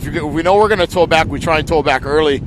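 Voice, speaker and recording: The voice shows ordinary pitch variation over noticeable background noise. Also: man. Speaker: outrigger race commentator. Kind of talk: live commentary. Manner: loud.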